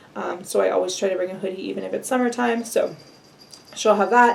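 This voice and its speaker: There is noticeable background noise as a woman speaks at a very fast pace. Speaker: vlogger. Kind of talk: casual vlog update.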